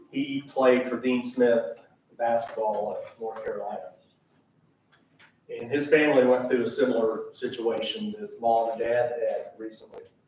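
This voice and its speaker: A man at a moderate pace with audible room echo. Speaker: son giving a eulogy. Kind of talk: eulogy. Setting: funeral service.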